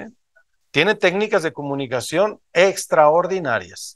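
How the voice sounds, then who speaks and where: A high-pitched man at a fairly slow pace, lively in intonation, against a quiet background. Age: 50s. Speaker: motivational speaker at a business event; motivational speaker. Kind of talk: motivational talk to a live audience. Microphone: video call.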